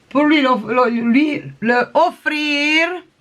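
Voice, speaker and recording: A woman speaks with a non-native accent. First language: not French (speaking French). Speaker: crafting vlogger. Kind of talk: casual show-and-tell vlog. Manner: halting, many hesitations.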